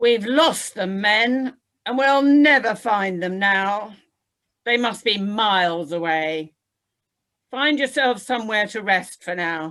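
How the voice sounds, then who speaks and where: Putting on a character voice, a woman speaks fairly slowly at a medium pitch with lively intonation. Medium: read story. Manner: commanding.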